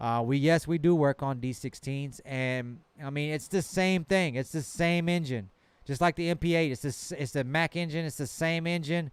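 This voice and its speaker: At a moderate pace, a man with a fairly high pitch talks in a Southern accent. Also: ordinary pitch variation. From Texas, rural. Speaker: truck mechanic and shop owner. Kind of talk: live stream Q&A. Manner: casual, hesitant with repetitions.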